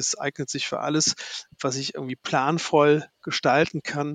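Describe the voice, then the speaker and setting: A man with a fairly high voice speaks with fairly even intonation, the sound dry and close with no echo. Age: 50s. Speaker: IT sales account manager. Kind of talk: podcast interview. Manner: halting.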